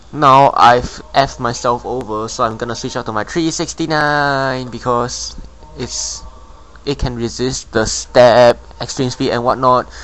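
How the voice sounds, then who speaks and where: The speaker talks at a fairly slow pace. There is noticeable background noise. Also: man. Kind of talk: game commentary narration. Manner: casual, rambling.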